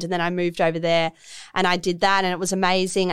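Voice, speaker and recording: A woman with an Australian accent speaks in a fairly low pitch with monotone, flat intonation, on a very clean recording with a silent background. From Melbourne, Australia. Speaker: fashion designer. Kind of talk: casual interview chat. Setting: studio.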